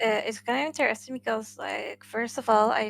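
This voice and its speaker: Recorded very cleanly against a silent background, a woman with a Spanish accent talks in a fairly high pitch with fairly even intonation. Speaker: gaming podcast co-host. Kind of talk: casual chat. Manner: halting, many fillers.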